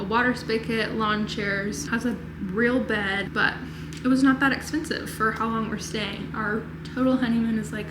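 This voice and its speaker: Over noticeable background noise and audible room echo, a woman with a fairly high voice speaks at a moderate pace with fairly even intonation. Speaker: lifestyle vlogger. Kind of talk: casual vlog narration. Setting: hotel room. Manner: chatty.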